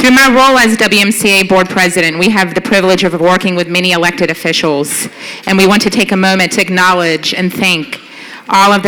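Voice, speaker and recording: Amid noticeable background noise, a woman with an American accent speaks at a medium pitch with ordinary pitch variation and very even loudness. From US South. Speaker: nonprofit board president. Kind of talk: gala award presentation. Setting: stage at gala dinner with audience.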